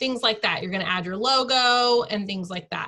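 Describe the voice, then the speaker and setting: A woman with a normal speaking voice. Her pitch is fairly high, with ordinary variation. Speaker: online team leader teaching design tool. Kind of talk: tutorial.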